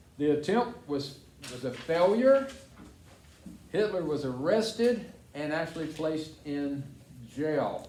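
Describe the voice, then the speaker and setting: Lively intonation marks a man's fairly high-pitched voice as he speaks at a fairly slow pace with long, frequent pauses. Audible room echo and noticeable background noise surround him. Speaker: school teacher. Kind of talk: classroom lesson reading from textbook.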